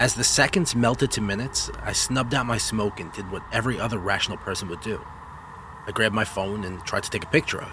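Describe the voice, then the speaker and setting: At a very fast pace, a man with a fairly low pitch speaks with ordinary pitch variation. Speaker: horror story narrator. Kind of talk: horror story narration, first-person, read aloud. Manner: brooding, measured, with eerie pauses.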